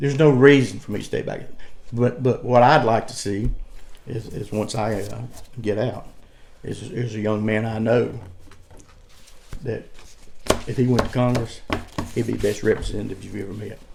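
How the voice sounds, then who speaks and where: A man with a Southern US accent speaks with fairly even intonation, long, frequent pauses and big swings in loudness. Audible room echo and noticeable background noise surround him. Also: medium pitch for a man. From US South, North Carolina (Cleveland County). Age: 60s. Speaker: political candidate. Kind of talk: interview. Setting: at his farm. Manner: fast; repetitive, stammering.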